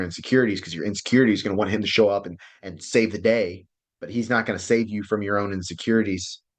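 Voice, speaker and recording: A man at a fairly low pitch and a very fast pace, against a quiet background. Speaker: relationship coach. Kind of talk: online class lecture. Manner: animated.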